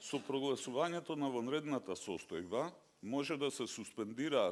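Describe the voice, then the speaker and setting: A man with a Macedonian accent is speaking. His pace is moderate. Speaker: judge. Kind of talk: conference talk.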